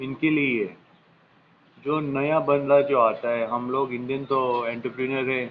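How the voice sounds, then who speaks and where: A man with a fairly high-pitched voice. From Goa, India. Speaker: vlogger. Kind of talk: casual talk to camera, advice list. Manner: casual, slightly halting Hindi with English phrases.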